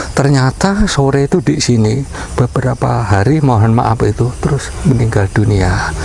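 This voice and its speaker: Noticeable background noise accompanies the recording. A man speaks at a moderate pace over it. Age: 60s. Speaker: local resident. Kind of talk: interview.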